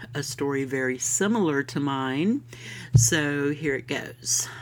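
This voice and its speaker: Speaking very slowly with a warm, upbeat tone, a woman with a Southern US accent has a very deep, low pitch. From US South, Florida. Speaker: podcast host. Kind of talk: scripted-style podcast intro, casual monologue. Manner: warm, friendly, upbeat.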